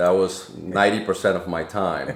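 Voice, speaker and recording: A man's very deep, low voice in a Spanish accent, at a fairly slow pace, over noticeable background noise. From Dominican Republic, then Lawrence, Massachusetts from age 13. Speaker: nonprofit CEO. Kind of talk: podcast interview.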